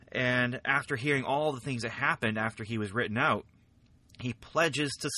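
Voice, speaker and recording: Ordinary pitch variation runs through this bright, sharp-toned voice. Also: man. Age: 40s. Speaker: podcast host. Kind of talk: solo comic book review.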